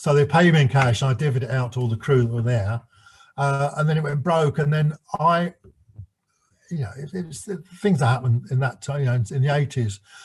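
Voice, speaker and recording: The speaker's somewhat breathy voice moves at a fairly quick pace with ordinary pitch variation, broken by long, frequent pauses. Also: man, fairly high pitch for a man. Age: 70s. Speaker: former stage manager. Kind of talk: interview. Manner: halting.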